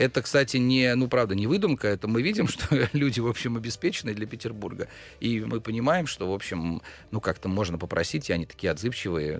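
On a very clean recording with a silent background, a man with an ordinary speaking voice talks at a fairly quick pace in a medium pitch with lively intonation. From Russia, Pskov. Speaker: bar co-founder. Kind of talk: casual interview.

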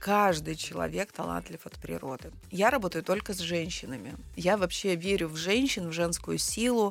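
This woman has a fairly low pitch and vocal fry. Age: 40s. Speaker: personal brand coach and psychologist. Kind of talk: interview. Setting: studio. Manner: animated.

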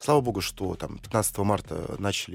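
Over a silent background in a very clean recording, a man with an unremarkable speaking voice talks at a fairly slow pace, with a fairly low pitch and ordinary pitch variation. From Russia, Saint Petersburg. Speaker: investor and entrepreneur. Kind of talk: radio interview.

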